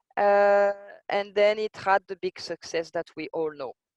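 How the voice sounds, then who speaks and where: A woman with a French accent speaks at medium pitch with ordinary pitch variation. The sound is dry and close, with no echo. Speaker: intellectual property expert. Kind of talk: lecture. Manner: hesitant, many fillers.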